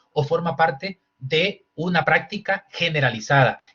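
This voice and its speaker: A man speaks in a high voice. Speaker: human rights lawyer. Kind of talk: lecture. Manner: fast.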